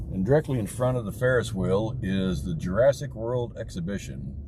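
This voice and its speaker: Audible room echo surrounds a man's voice. His pitch swings very widely. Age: 60s. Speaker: livestreamer driving and filming. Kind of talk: live stream commentary while driving. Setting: in a car. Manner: casual and conversational.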